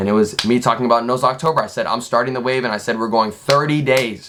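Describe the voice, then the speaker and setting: An animated tone at a very fast pace. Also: man. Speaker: content creator streaming to chat. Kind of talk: casual livestream monologue.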